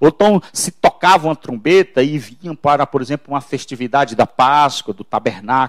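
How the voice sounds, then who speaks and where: An ordinary speaking voice moves at a moderate pace with lively intonation and big swings in loudness, in a dry, close sound with no echo. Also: man, fairly high pitch for a man. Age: 50s. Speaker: pastor. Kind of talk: sermon.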